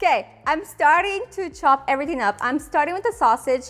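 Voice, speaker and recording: With a Ukrainian accent, a woman speaks at a moderate pace in an upbeat tone. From Ukraine. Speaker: cooking video host. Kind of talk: cooking tutorial. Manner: casual, upbeat.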